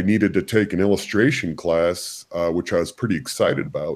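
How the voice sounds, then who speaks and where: Here a man speaks with an American accent. His pitch variation is ordinary. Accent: generic nasally American. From US, military bases abroad. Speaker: comic book artist. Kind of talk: interview.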